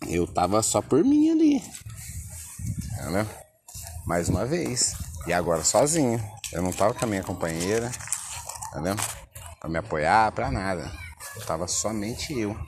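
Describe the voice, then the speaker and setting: Lively intonation at a fairly slow pace, broken by long, frequent pauses, amid noticeable background noise and audible room echo. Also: man, fairly low pitch for a man. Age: 30s. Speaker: podcaster. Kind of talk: casual monologue. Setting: outdoors at the beach. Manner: laid-back, filler-heavy.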